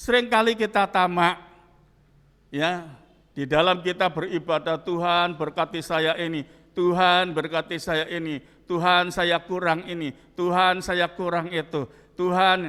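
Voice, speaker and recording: Recorded very cleanly against a silent background, a man with a high pitch and a bright, sharp tone talks at a fairly slow pace with fairly even intonation. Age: 70s. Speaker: pastor. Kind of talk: sermon.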